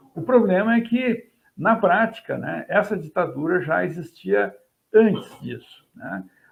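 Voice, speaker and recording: At a fairly slow pace, a man speaks with big swings in loudness. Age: 60s. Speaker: history professor. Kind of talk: interview. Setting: at home, video call.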